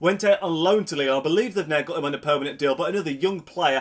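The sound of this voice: A man speaks fast with a nasal sound. His pitch varies in an ordinary way.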